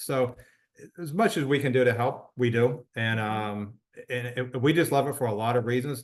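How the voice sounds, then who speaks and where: A man with a normal speaking voice talks at a moderate pace. His pitch is medium and his intonation fairly even. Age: 60s. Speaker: wellness product promoter. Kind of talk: interview testimony.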